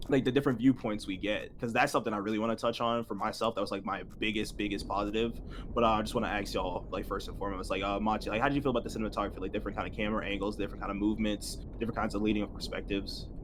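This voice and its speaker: This man talks at a very fast pace with hardly any pauses and a monotone, flat intonation. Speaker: movie review host. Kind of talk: casual group discussion. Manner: halting, many fillers.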